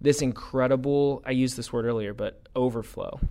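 A man uses an ordinary speaking voice at medium pitch, with ordinary pitch variation and a moderate pace. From Ohio, Columbus. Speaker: youth ministry staff. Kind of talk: interview testimony.

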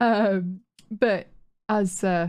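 A woman with a Yorkshire accent, medium pitch with ordinary variation, and a dark, mellow tone. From Yorkshire, northern England. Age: 30s. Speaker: podcast host and streamer. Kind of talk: casual chat.

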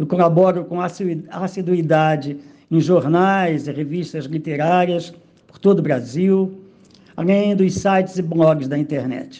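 Speaking in a Rio de Janeiro accent, a man has a high pitch and a dark, mellow tone. He talks at a fairly slow pace with ordinary pitch variation. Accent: Carioca Brazilian Portuguese. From Rio de Janeiro suburbs, Brazil. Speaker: poet. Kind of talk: recorded autobiographical monologue.

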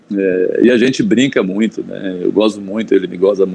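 A man speaks at a moderate pace with a fairly low pitch in an ordinary speaking voice. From Bahia interior, Brazil. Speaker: journalist and Vitória fan. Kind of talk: casual interview chat.

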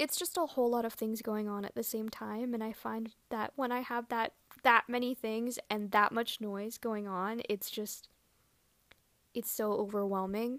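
A woman with a fairly high pitch speaks at a moderate pace, her intonation fairly even, in a dry, close sound with no echo. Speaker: podcast host, barista. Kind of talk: casual solo monologue, rant. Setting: recording alone at night. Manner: casual, chatty, laughs often.

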